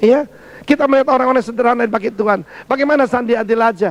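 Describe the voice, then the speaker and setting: A man speaks in an animated tone at a very fast pace, his pitch extremely high, with ordinary pitch variation. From Indonesia, Surabaya (East Java). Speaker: pastor. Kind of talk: sermon.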